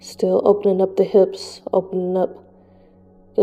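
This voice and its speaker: A woman speaks softly at a moderate pace. Music plays in the background. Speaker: yoga instructor. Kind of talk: guided yoga class. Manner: soft-spoken.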